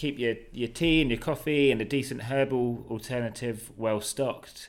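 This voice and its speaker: Recorded very cleanly with a silent background, a man with a British accent speaks at a moderate pace and medium pitch, with ordinary pitch variation. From Britain. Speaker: experienced sailor and cook. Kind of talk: interview. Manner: hesitant, many fillers.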